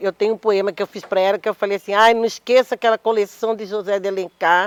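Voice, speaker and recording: Her pace is very fast, and her intonation is monotone and flat at a medium pitch for a woman. The sound is dry and close, with no echo. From Mato Grosso, Cuiabá, Brazil. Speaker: poet and actress. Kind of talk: panel discussion.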